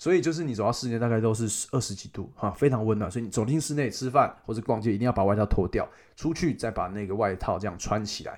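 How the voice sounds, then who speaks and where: A man with a Taiwanese accent talks at a very fast pace. He hardly pauses, and his pitch varies in an ordinary way. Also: medium pitch for a man, very clean recording, silent background. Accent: Taiwanese Mandarin. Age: 20s. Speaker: travel podcast host. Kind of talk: casual travel storytelling monologue. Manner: animated.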